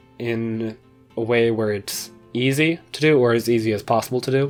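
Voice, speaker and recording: Over music in the background, a man of medium pitch talks at a fairly slow pace with fairly even intonation. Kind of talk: casual talk to camera. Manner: unscripted, hesitant.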